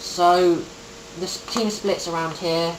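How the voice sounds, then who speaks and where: The speech goes at a very slow pace with noticeable background noise. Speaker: gaming guide creator. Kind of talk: tutorial. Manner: hesitant, many ums.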